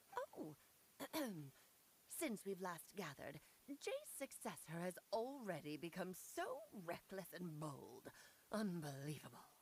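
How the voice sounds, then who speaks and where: Speaking in a put-on character voice, a woman keeps a medium pitch. She moves at a fairly slow pace with long, frequent pauses. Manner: haughty, disapproving.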